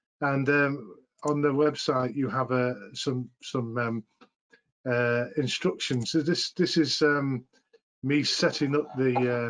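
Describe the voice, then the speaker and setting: Very slow male speech with fairly even intonation. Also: medium pitch for a man. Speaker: physics teacher trainer. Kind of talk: tutorial.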